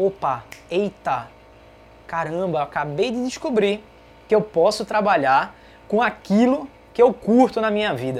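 Her medium-pitched voice has vocal fry and an animated tone, and this woman talks at a fairly slow pace with very wide pitch swings and long, frequent pauses. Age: 20s. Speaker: podcast host. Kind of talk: casual live Q&A.

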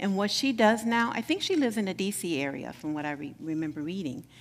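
Very wide pitch swings in a woman's medium-pitched voice. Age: 60s. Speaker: minister. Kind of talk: sermon.

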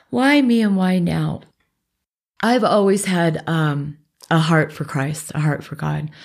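In an American accent, a woman speaks at a fairly low pitch and a very slow pace. The recording is very clean and the background silent. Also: lively intonation. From Alaska and US Northwest. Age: 40s. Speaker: Reiki practitioner. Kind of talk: interview.

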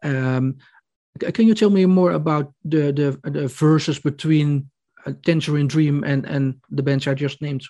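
Over a quiet background, a man with a Dutch accent talks at a moderate pace in a fairly high pitch, with a dark, mellow tone and ordinary pitch variation. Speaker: podcast host, music journalist. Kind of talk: interview. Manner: halting.

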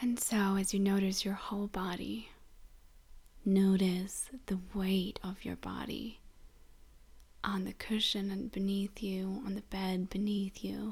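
A somewhat breathy woman's voice at medium pitch, soothing and gentle in tone, with monotone, flat intonation, a fairly slow pace and long, frequent pauses. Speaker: grief support host and guide. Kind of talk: guided meditation (body scan). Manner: slow, soothing, gentle, with long pauses; soft-spoken, calm, tender.

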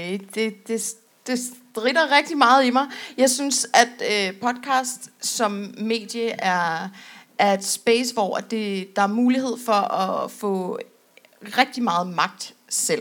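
A woman is speaking. Her pitch is fairly high. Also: very clean recording, silent background. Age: 20s. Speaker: podcast co-host. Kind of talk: live podcast panel talk. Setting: stage with audience.

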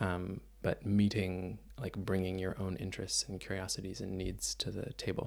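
With a Canadian accent, a man speaks at a moderate pace with hardly any pauses. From Canada, Mississauga near Toronto. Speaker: dancer. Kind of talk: interview conversation. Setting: cabin on tour.

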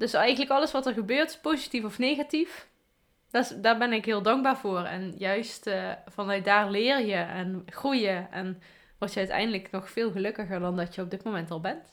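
A woman speaks in an ordinary speaking voice at a medium pitch and a moderate pace, with lively intonation. The recording is very clean, the background silent. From Afferden, Limburg, Netherlands. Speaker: podcast host. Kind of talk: casual chat.

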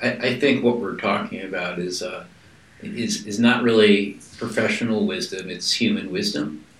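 Moderate pace over noticeable background noise. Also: man. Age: 50s. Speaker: podcast host. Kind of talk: interview.

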